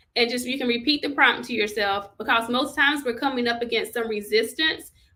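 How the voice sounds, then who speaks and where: This is a woman's voice. Her pitch is fairly high. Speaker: journaling livestream host. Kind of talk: live-streamed guided journaling session. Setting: livestream on social media. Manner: casual, conversational.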